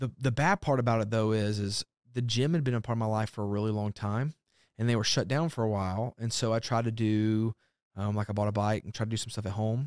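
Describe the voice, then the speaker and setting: A man with a Southern US accent talks at a very fast pace with fairly even intonation. The recording is very clean, with a silent background. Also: medium pitch for a man, dry, close sound with no echo. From Alabama. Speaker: pastor. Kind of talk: casual chat. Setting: studio.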